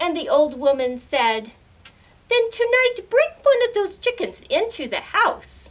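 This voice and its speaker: A woman puts on a character voice at an extremely high pitch, swinging very widely up and down at a fairly slow pace. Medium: read story. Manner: calm, deliberate.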